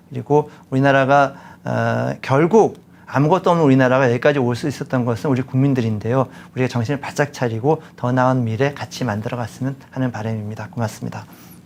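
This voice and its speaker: With a normal speaking voice, a man talks at a fairly quick pace, his medium pitch showing ordinary variation. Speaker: former presidential economic adviser. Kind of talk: interview.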